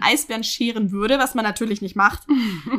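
A woman talks at a fairly quick pace in an ordinary speaking voice. Her pitch is fairly high, with lively intonation. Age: 20s. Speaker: podcast co-host. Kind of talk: casual chat; news reading.

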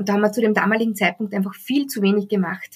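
A woman speaks in a somewhat breathy voice. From Austria. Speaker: HR recruiting text consultant. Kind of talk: interview.

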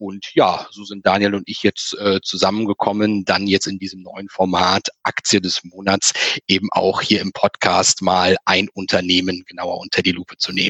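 A man's fairly low, bright and sharp voice, monotone and flat, with big swings in loudness and a dry, close sound with no echo. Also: moderate pace. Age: 30s. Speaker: finance blogger. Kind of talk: casual chat.

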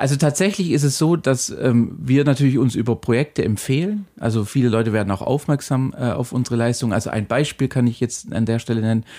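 A man speaks at a fairly quick pace with hardly any pauses, his pitch medium and his loudness very even. His tone is dark and mellow, with ordinary pitch variation. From Ulm, Swabia. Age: 30s. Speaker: agency partner. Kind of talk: casual interview.

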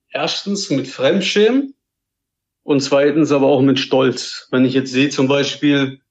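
Speaking very slowly, a man lets his pitch shift in a normal way. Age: 20s. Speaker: podcast listener. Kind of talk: casual chat.

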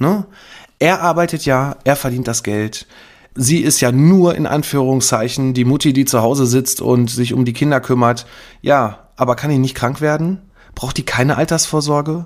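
This man talks at a moderate pace with a medium pitch and ordinary pitch variation. The recording is very clean, with a silent background. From Lower Rhine region, western Germany. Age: 40s. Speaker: insurance broker, podcast host. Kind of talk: solo podcast monologue, advice. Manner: unscripted, free-speaking with filler words.

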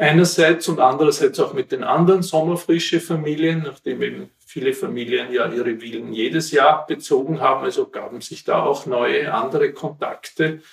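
A man at a moderate pace, with hardly any pauses. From Austria, Wienerwald near Vienna. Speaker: local historian. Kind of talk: interview, storytelling. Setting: at his home.

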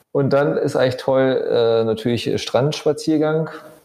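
A man's fairly high pitch and dark, mellow tone at a moderate pace. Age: 40s. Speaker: architect and property developer. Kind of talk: casual interview. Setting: on location in a holiday building.

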